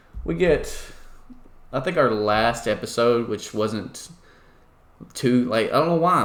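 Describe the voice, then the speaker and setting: A man with a Southern US accent and ordinary pitch variation, plus audible room echo. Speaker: podcast host and esports team organizer. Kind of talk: casual chat.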